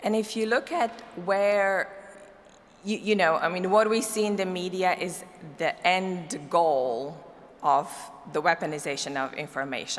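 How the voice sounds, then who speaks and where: With a non-native accent, a woman talks at a fairly slow pace and ordinary pitch variation. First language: not English. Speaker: cybersecurity policy expert, keynote speaker. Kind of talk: conference keynote.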